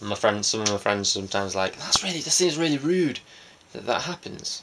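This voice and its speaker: Amid noticeable background noise, a man of medium pitch talks at a fairly quick pace with very wide swings in pitch. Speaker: vlogger. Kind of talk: casual vlog monologue. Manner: fast.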